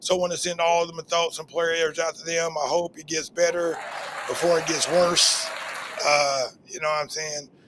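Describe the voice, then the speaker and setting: A man speaks in a high pitch with a monotone, flat intonation. His loudness swings widely at a moderate pace as crowd noise carries in the background. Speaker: podcast host and stand-up comedian. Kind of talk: casual chat.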